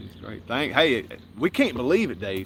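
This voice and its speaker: This man talks with a Southern US accent. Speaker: homestead channel host. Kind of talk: casual live stream chat. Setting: outdoors by a lake.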